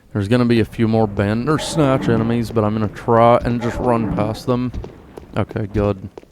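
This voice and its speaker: Noticeable background noise sits behind this recording. A man speaks with fairly even intonation. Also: medium pitch for a man, moderate pace. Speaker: gaming YouTuber. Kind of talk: gameplay commentary. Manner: casual, relaxed.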